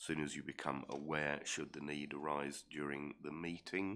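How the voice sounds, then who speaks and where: Very deep and low, a man's voice with a southern English accent moves at a moderate pace with fairly even intonation. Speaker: council committee chairman. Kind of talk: formal committee meeting chairing. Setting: council chamber meeting, live streamed. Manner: hesitant, many ums.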